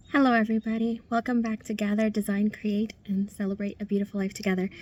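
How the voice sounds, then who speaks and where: A woman speaks at a very fast pace in a flat monotone. Her pitch is fairly high, and her voice is somewhat breathy. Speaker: interviewer, channel host. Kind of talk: interview intro and questions.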